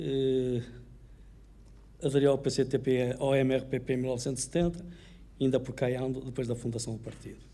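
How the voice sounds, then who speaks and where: A man with a medium pitch and a dark, mellow tone speaks in a flat monotone at a fairly quick pace, leaving long, frequent pauses, with audible room echo. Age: 70s. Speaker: mayoral candidate, retired solicitor. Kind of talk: political debate. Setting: auditorium with audience, broadcast on radio.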